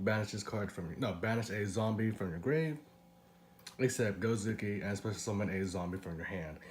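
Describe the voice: A man's raspy, fairly low voice with a slightly mellow tone and fairly even intonation.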